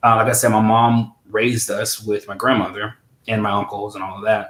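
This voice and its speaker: A fairly low male voice with an American accent, fairly quick, in a monotone, flat intonation. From US Midwest, St. Louis. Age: 30s. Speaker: interview guest. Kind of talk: personal interview. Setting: livestream.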